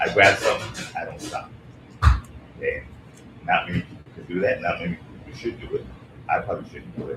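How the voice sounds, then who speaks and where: A man's voice comes through with noticeable background noise. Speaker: tech commentator. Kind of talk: live panel discussion. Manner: loud; animated. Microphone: too quiet, needs to speak louder.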